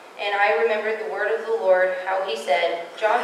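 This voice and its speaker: The speaker keeps a moderate pace and fairly even intonation. There is audible room echo along with light background noise. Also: woman. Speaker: scripture reader. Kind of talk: reading aloud. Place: church. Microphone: podium.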